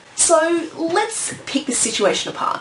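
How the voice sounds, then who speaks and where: A woman's voice with very wide pitch swings at a moderate pace, over noticeable background noise. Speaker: vlogger on indie publishing. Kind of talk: vlog monologue.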